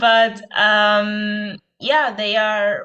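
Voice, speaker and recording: A woman's medium-pitched voice with a non-native accent and a bright, sharp tone. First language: not English. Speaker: medical student abroad. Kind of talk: Q&A answer in webinar. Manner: halting.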